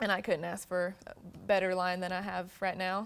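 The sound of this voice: A woman speaks in a clear, smooth tone with vocal fry and little pitch movement. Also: fairly low pitch for a woman, fairly quick pace.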